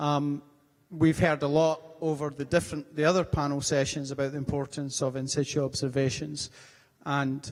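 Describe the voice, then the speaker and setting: A man's fairly high voice at a moderate pace, monotone and flat. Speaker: session moderator at an international conference. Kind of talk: panel session summary. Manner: hesitant with many fillers.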